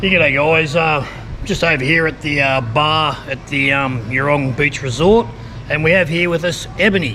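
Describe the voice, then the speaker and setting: In an Australian accent, a man talks at a moderate pace and fairly high pitch with ordinary pitch variation, with audible room echo and noticeable background noise. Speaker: travel vlogger. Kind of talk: casual vlog interview. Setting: resort bar.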